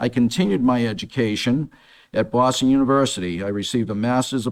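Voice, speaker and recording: With an ordinary speaking voice, a man talks at a fairly quick pace, his medium pitch showing ordinary pitch variation. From Massachusetts. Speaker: city council candidate. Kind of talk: debate opening statement. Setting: stage with audience.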